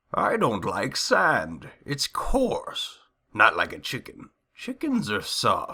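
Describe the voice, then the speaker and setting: Using a cartoonish character voice, a man speaks at a very slow pace. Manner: sneaky.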